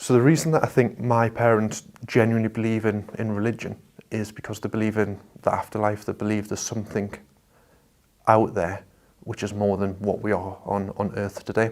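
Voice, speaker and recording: A man's fairly low voice with an American accent, fairly quick in pace and fairly even in intonation. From northeast England, Washington (Tyne and Wear). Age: 30s. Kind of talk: testimony. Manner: halting, many repeated words.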